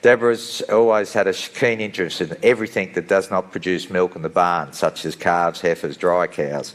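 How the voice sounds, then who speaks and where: With an Australian accent, a man with a very deep, low voice speaks at a fairly quick pace. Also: ordinary pitch variation, hardly any pauses. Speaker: session moderator. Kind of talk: speaker introduction.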